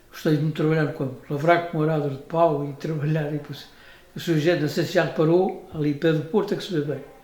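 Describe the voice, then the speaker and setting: A man's fairly high, monotone, flat voice at a very fast pace, with audible room echo. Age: 90s (80s+). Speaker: retired farmer and former road worker. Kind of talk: casual interview, life story. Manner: halting.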